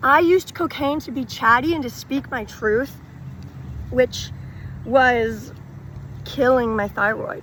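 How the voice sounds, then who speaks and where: With noticeable background noise behind her, a woman speaks at a high pitch and a very slow pace, leaving long, frequent pauses. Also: ordinary pitch variation. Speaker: wellness vlogger. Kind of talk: casual personal testimony to camera. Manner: chatty, filler-heavy casual speech.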